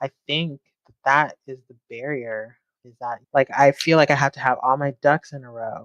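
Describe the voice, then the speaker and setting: A woman's very deep, low voice with a slight Southern California accent, fairly even intonation, a quiet background, and a dry, close sound with no echo. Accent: slight Valley Girl. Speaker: security analyst. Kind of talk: podcast interview.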